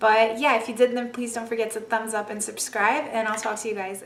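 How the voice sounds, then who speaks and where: A woman's raspy, put-on character voice, fairly high-pitched, fairly quick and monotone with flat intonation. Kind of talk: casual vlogger. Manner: fast talking.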